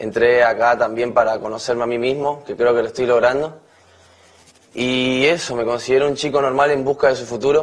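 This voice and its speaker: A man at a fairly quick pace with monotone, flat intonation. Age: 20s. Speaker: reality show contestant. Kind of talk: campaign speech. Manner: halting. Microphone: podium.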